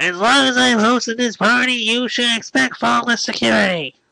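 A put-on character voice with fairly high pitch moves along at a moderate pace.

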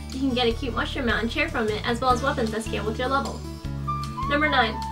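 A woman speaks at a very fast pace. Clear music plays in the background. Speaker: gaming vlogger. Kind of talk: scripted informational game vlog. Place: home room.

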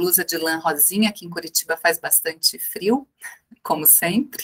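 The pace is fairly slow. Behind the voice, the background is quiet. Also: woman. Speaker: seminar moderator. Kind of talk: panel moderation. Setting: video call. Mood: happy, warm. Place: office. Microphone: webcam.

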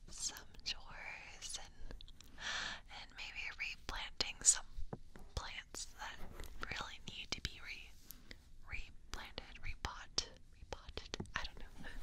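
A woman whispers at a very slow pace, with long, frequent pauses and big swings in loudness. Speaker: ASMR creator. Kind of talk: soft whispered ASMR roleplay. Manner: soft, close, hushed ASMR voice. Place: home room. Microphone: studio mic.

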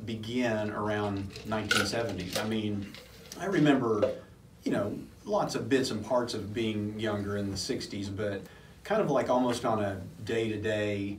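A man is speaking, with audible room echo. Light background noise runs underneath. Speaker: podcast co-host. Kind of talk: casual podcast chat, personal memories. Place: studio.

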